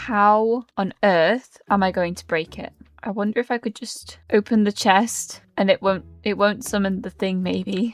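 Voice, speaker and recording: Over background music, a woman with a British accent speaks at medium pitch and a fairly slow pace, with fairly even intonation, big swings in loudness, and a dry, close sound with no echo. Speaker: gaming youtuber. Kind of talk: gameplay commentary.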